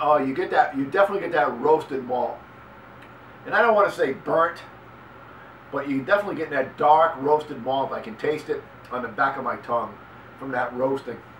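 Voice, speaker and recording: With a Boston accent, a man with a fairly high pitch talks at a fairly quick clip, leaving long, frequent pauses, his pitch varying in an ordinary way over noticeable background noise. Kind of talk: casual beer review talk to camera. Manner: casual, halting.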